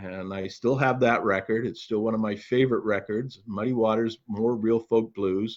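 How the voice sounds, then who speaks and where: A man speaks in a plain, everyday voice with a fairly low pitch. His intonation stays fairly even at a moderate pace over a quiet background. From Canada. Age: 60s. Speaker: retired museum executive and author. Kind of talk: interview.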